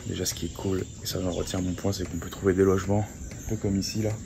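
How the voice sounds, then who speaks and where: Here a man talks at a moderate pace with a fairly low pitch. His intonation is monotone and flat. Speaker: travel vlogger. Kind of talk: travel vlog. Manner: soft-spoken.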